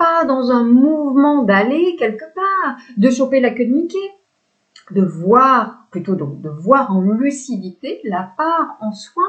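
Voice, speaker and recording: A woman speaks very slowly at a high pitch, with very wide pitch swings. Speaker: spiritual coach. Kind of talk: spiritual talk to camera. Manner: hesitant fillers, repetitions.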